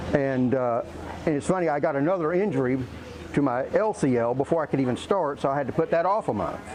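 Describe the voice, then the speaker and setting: A man talks at a very fast pace with ordinary pitch variation, and noticeable background noise is present. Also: fairly high pitch for a man. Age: 60s. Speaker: gym client. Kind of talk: testimonial interview. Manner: casual, conversational.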